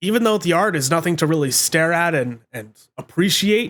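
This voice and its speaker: The delivery is fairly quick with an animated tone. Its intonation is lively. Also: man. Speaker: anime reviewer. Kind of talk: video essay commentary.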